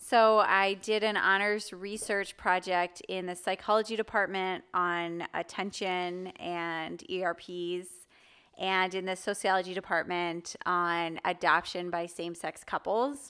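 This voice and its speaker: With a Midwestern American accent, a woman speaks at a medium pitch in a bright, sharp tone with fairly even intonation, on a very clean recording with a silent background. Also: fairly slow pace. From US Midwest, Chicago area. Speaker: psychology professor. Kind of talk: casual interview.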